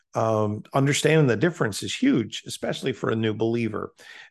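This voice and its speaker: Speaking at a moderate pace in an unremarkable speaking voice, a man shows ordinary pitch variation against a quiet background. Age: 60s. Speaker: preacher. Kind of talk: interview.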